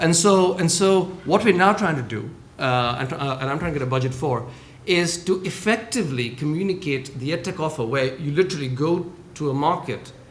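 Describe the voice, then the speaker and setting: Lively, fairly high-pitched man at a fairly quick pace, with audible room echo and noticeable background noise. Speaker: government trade official. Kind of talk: panel discussion. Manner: fast.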